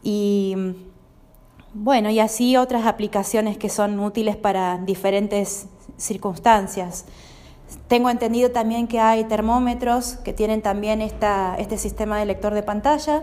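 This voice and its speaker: A woman speaks fairly slowly with a fairly high pitch. Her intonation stays fairly even. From Argentina, Santa Fe province. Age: 40s. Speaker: blind guest, translator. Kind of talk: interview. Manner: hesitant, frequent fillers.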